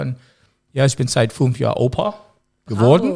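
With an English accent, a man speaks using lively intonation and vocal fry. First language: English (speaking German). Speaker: music producer. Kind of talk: casual interview. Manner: halting.

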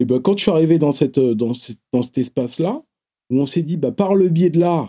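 At a moderate pace, a dark, mellow tone carries lively intonation in a dry, close sound with no echo. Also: man. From Paris suburbs, Seine-Saint-Denis. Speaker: rapper and music teacher. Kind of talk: casual interview chat.

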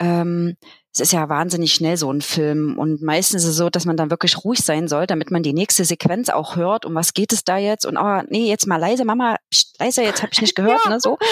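A woman speaks in a normal speaking voice at a fairly quick pace with fairly low pitch and ordinary pitch variation. The sound is dry and close, with no echo. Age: 40s. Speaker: childminder and social pedagogue. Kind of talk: casual interview.

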